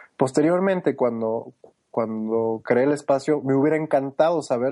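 The voice is a man's, at medium pitch. His tone is dark and mellow. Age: 30s. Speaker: food truck park director. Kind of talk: interview.

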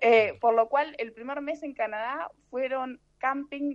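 A woman's high voice holds a fairly even intonation. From Argentina. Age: 30s. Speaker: traveler and translator. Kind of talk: interview conversation.

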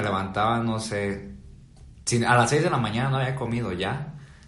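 Audible room echo surrounds a man at a medium pitch. He keeps a moderate pace with ordinary pitch variation. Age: 20s. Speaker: video editor. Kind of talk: casual chat.

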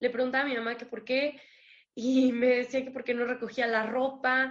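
In a Mexican accent, a woman speaks at a moderate pace with a high pitch. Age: 20s. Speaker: recovering addict sharing her story. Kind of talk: testimony.

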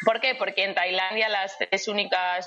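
A woman's fairly even intonation comes through amid noticeable background noise. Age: 30s. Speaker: travelling runner. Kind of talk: interview.

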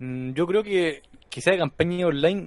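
The speaker is a man with a Chilean accent. His pitch is high. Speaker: gaming podcast host. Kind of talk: casual chat. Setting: live stream.

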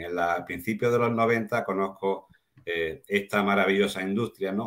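A man talks at a moderate pace in an unremarkable speaking voice with ordinary pitch variation. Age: 60s. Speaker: network marketing distributor, former teacher. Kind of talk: casual chat.

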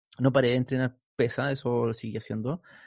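In a Chilean accent, a man speaks at a moderate pace and medium pitch, with fairly even intonation and a dry, close sound with no echo. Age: 40s. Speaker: physical education teacher and exercise physiologist. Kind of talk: interview. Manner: casual, colloquial.

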